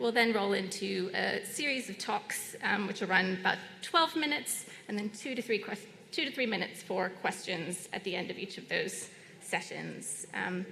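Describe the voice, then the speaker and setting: With an American accent and ordinary pitch variation, a woman speaks amid noticeable background noise and audible room echo. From United States. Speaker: session chair. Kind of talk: conference moderation. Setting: conference room with audience. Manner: hesitant, many fillers.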